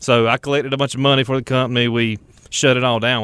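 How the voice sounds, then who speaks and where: Very fast speech from a man at a medium pitch. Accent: North Carolina. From North Carolina, Richmond County. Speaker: fruit company general manager. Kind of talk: casual chat.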